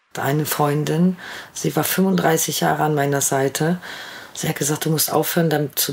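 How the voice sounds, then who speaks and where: Amid noticeable background noise, a woman with a very deep, low voice speaks at a moderate pace. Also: very even loudness. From Ruhr area, Germany. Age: 40s. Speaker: vaccine injury sufferer. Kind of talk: personal testimony.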